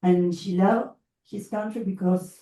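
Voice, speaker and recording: A woman's somewhat breathy voice with a dark, mellow tone and a Spanish accent. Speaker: education consultant and lecturer. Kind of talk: lecture. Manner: halting.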